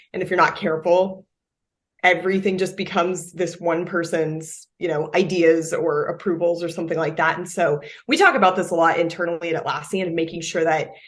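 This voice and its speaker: Her delivery is monotone and flat as the woman speaks at a fairly quick pace. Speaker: product marketing director. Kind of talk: interview. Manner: loud.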